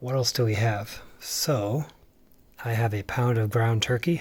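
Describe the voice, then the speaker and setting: In a very clean recording with a silent background, a soft-spoken, somewhat breathy voice moves at a fairly slow pace. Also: man. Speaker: home cook and family caregiver vlogger. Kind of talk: casual cooking tutorial. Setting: home kitchen at night. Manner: quiet, soft-spoken; hesitant with fillers.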